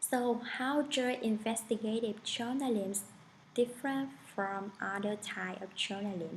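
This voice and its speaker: Speaking at a fairly slow pace, a woman with a strong non-native accent uses a fairly high pitch. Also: ordinary pitch variation. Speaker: student. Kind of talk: class presentation. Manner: formal.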